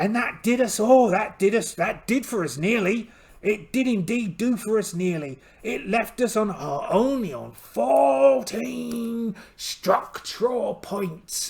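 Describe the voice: Slow and with few pauses, a man puts on a character voice pitched high for a man, with vocal fry, a slightly mellow tone and lively intonation.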